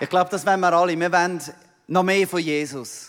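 A man with a Swiss accent talks at a very fast pace in a very clean recording with a silent background. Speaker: missionary pastor. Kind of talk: sermon. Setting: church.

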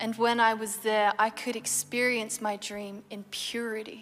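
With an Australian accent, a woman speaks fairly slowly at a fairly high pitch in a monotone, flat intonation. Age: 20s. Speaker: Olympic athlete. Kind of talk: testimony. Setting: studio.

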